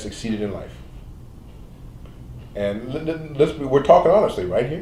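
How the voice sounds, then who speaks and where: Lively intonation from a man at a medium pitch and moderate pace, with noticeable background noise. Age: 70s. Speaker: medical doctor. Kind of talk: interview. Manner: halting.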